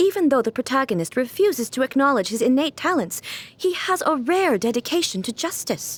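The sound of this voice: A woman's high put-on character voice with a slightly husky edge and big pitch swings. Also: fairly quick pace.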